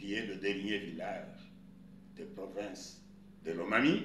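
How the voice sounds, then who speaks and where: Audible room echo surrounds speech at a very slow pace, broken by long, frequent pauses. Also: man. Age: 80s+. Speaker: customary chief. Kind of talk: interview.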